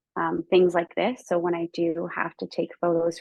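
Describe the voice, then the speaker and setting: A normal speaking voice from a woman, fairly low in pitch, at a fairly slow pace. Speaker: photography workshop presenter. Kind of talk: webinar tutorial. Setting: video call webinar.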